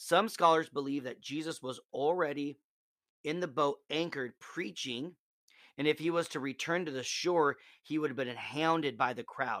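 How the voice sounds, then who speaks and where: Speaking at a moderate pace with a Midwestern American accent, a man has a fairly high pitch and ordinary pitch variation in a very clean recording with a silent background. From Nebraska. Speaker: podcast host giving Bible reflections. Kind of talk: devotional talk.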